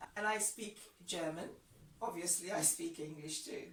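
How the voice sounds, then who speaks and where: In a Ghanaian accent, a woman speaks at a moderate pace amid audible room echo. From Ghana, Accra. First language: Ga. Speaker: language teacher. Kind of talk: tutorial.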